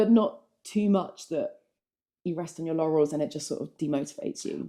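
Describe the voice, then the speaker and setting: A woman's dark, mellow voice, fairly low in pitch, with ordinary pitch variation and a fairly quick pace. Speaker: keynote speaker and former marketing CEO. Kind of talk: casual chat.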